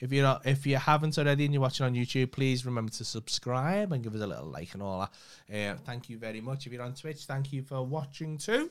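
A man with a Liverpool accent at a very fast pace, with big swings in loudness and ordinary pitch variation, on a very clean recording with a silent background. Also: medium pitch for a man. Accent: Liverpool (Scouse). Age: 30s. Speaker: podcast co-host. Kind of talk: casual chat. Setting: studio.

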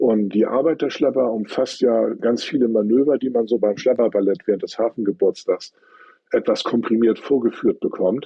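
This is a normal speaking voice at a moderate pace with ordinary pitch variation. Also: man, medium pitch for a man. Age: 50s. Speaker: tugboat company fleet manager. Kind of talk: interview.

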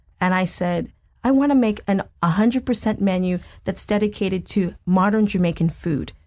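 Somewhat breathy, a woman with an American accent speaks with ordinary pitch variation and very even loudness on a very clean recording over a silent background. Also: medium pitch for a woman, moderate pace. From United States. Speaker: chef. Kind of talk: interview. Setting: studio.

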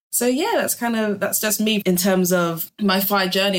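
A woman speaks with a London accent at a fairly quick pace. Her pitch varies in an ordinary way. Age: 20s. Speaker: music industry artist manager. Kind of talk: podcast interview.

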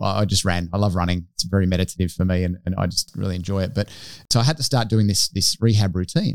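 On a very clean recording with a silent background, a man with an Australian accent speaks at a very fast pace, his pitch very deep and low with ordinary variation. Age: 40s. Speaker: podcast co-host. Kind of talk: casual interview.

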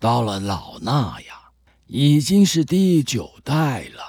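The speaker has a calm tone and very wide pitch swings in a very clean recording with a silent background. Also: man. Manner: calm, sermonizing.

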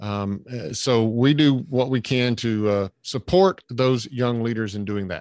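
A man with a Southern US accent talks at a fairly slow pace with hardly any pauses, at a medium pitch with ordinary pitch variation, in a dry, close sound with no echo. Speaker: leadership trainer and coach. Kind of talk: podcast interview.

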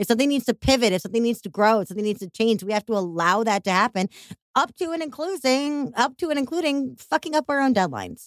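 Someone with a Chicago accent talks at a very fast pace with very wide pitch swings, in a dry, close sound with no echo. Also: woman, fairly high pitch for a woman. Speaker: podcast host. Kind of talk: casual interview conversation. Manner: animated, warm, enthusiastic.

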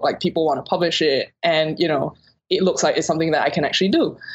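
A woman speaks very fast in a fairly low voice with fairly even intonation. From Singapore. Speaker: novelist. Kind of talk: interview. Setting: phone call.

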